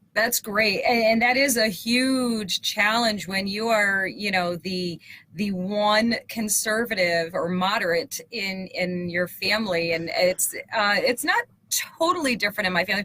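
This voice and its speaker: A woman with a normal speaking voice talks at a fairly slow pace in a medium pitch, with ordinary pitch variation. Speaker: talk show host. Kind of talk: interview.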